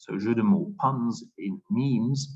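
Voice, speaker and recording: A man speaks with a Dutch accent. His voice is somewhat breathy. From Flanders, Belgium. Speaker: linguistics researcher. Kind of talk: academic Q&A. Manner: hesitant, thinking aloud.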